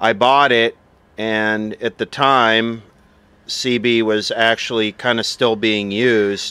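The sound is dry with no echo as a man speaks at a very slow pace. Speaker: vintage radio collector. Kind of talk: casual show-and-tell narration. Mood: nostalgic, relaxed. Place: open country.

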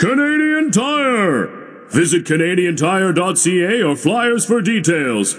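Putting on a character voice, a man speaks with a high pitch and an excited tone. His pace is fairly slow. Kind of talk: advertising announcer. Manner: big, booming, excited.

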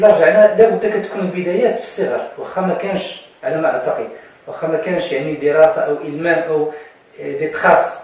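A man talks at a moderate pace. Strong room echo surrounds his voice. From Morocco. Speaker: TV presenter; TV host. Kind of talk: interview. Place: studio.

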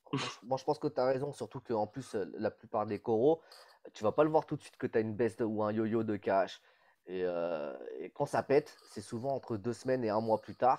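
A man's medium-pitched voice, fairly quick in pace, with big swings in loudness, ordinary pitch variation, and a dark, mellow tone in a dry, close recording with no echo. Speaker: reef aquarium hobbyist. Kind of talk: casual chat.

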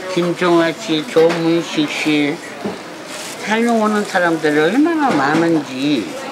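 Speech at a very slow pace carries lively intonation over noticeable background noise. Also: woman, fairly low pitch for a woman. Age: 80s+. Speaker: street food vendor. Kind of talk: casual chat. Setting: market stall. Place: market. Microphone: camera far.

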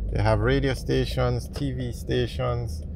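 The sound is dry, with no echo. A man speaks over noticeable background noise. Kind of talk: casual vlog commentary. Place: car. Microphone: phone near.

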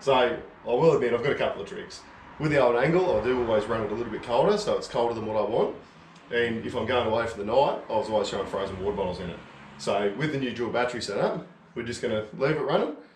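A man talks very fast with ordinary pitch variation. Room echo is audible, along with light background noise. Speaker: DIY vlogger. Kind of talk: casual tutorial. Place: garage. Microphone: phone near.

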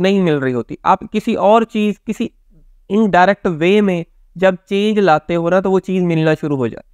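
Over a quiet background, a man speaks at a high pitch and moderate pace with ordinary pitch variation and big swings in loudness, the sound dry with no echo. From Pakistan. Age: young. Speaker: motivational speaker and counsellor; motivational speaker. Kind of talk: motivational talk to camera. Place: home room.

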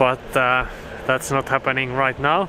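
A woman's very deep, low pitch in a dry sound with no echo, against noticeable background noise. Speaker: sailing vlogger. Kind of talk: casual vlog chat. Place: waterside. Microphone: phone near.

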